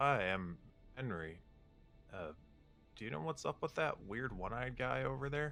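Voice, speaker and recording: Over clear background music, a man puts on a character voice at medium pitch, moving at a moderate pace with very wide pitch swings and long, frequent pauses. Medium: actual play. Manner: friendly, hesitant.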